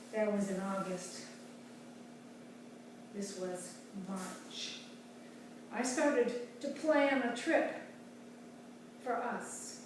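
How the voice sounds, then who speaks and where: Fairly high in pitch with ordinary variation, a woman speaks in a dramatic tone at a very slow pace. Long, frequent pauses break her speech over noticeable background noise. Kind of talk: author reading of her own book. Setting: exercising while reading, home recording with poor sound. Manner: dramatic, expressive reading.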